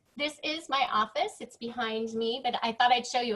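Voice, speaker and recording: Loud and high-pitched, a woman speaks at a moderate pace. Her pitch variation is ordinary. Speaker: interior designer. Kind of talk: presentation. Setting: video call.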